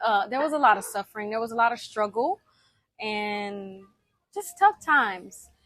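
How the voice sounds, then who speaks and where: A woman's fairly high voice with a slight Southern US accent, moderate pace, and a dry, close sound free of echo. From US South, Alabama then Miami. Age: 20s. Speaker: personal vlogger. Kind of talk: personal testimony. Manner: conversational with fillers.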